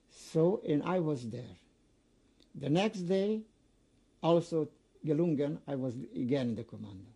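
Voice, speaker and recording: Leaving long, frequent pauses, a man talks in a fairly high pitch with a dark, mellow tone and very wide pitch swings. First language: not English. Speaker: Holocaust survivor. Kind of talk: oral history interview. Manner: halting.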